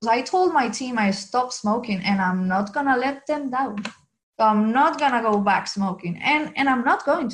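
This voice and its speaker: In a Venezuelan accent, a woman with a fairly high pitch speaks at a moderate pace with lively intonation. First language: Spanish. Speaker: graphic designer. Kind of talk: interview.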